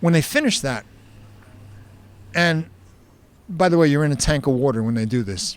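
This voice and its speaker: Lively intonation marks this man's fairly high-pitched voice, delivered at a moderate pace with a New Jersey accent. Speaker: safety speaker, burn survivor. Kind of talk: on-stage interview.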